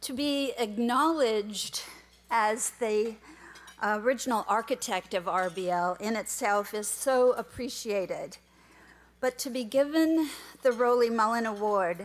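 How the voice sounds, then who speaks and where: A woman with a fairly high pitch and a slight Minnesota accent, at a fairly slow pace. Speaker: award recipient, volunteer. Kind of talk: award acceptance speech. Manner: quiet.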